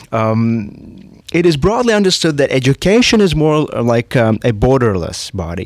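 A man speaks in a Latvian accent at a medium pitch. His pace is moderate and his intonation lively. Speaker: podcast co-host. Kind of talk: interview.

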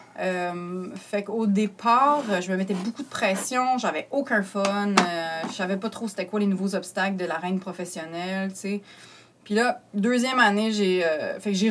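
Over noticeable background noise, a woman with a medium-pitched voice speaks at a moderate pace with ordinary pitch variation. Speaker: comedian. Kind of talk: casual chat.

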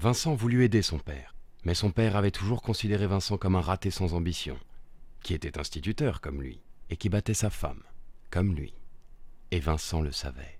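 With a very deep, low voice and vocal fry, a man speaks in a theatrical tone with lively intonation and long, frequent pauses, on a very clean recording with a silent background. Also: moderate pace. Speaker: narrator. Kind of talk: dramatic storytelling narration of a short film, fairy-tale style. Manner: theatrical, measured, storyteller delivery with dark irony.

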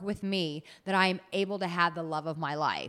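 On a very clean recording with a silent background, a woman with an American accent sounds animated, speaking at a medium pitch and a moderate pace with ordinary pitch variation. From United States. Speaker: dating and relationship coach. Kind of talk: casual interview.

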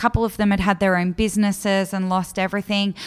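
This recording is very clean against a silent background. In it, a woman talks with an Australian accent. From Australia, Melbourne southeastern suburbs. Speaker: charity office worker, former drug user. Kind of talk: interview, personal story.

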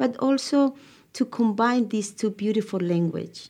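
Speaking at a fairly slow pace, a woman with a Spanish accent has a dark, mellow tone and lively intonation. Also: quiet background. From Ecuador. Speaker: TV host and producer. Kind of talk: interview.

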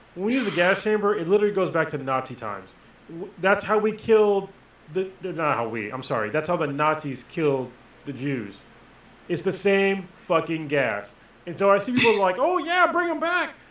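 At a moderate pace, a man speaks at a high pitch with very wide pitch swings. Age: 40s. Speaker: podcast co-host, Marine. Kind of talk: casual chat.

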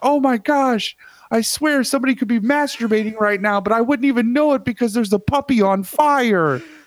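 A man puts on a character voice, extremely high in pitch, and delivers it at a fairly quick pace. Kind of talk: infomercial parody. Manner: distressed, exaggerated.

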